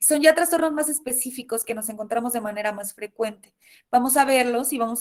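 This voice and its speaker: A woman speaks at a fairly high pitch with ordinary pitch variation. Her pace is fairly quick. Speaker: university lecturer. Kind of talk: online lecture. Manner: fast.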